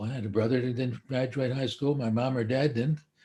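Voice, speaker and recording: An American-accented man, somewhat breathy, with medium pitch and a dark, mellow tone. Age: 80s+. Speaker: psychiatrist. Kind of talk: live stream talk. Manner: halting.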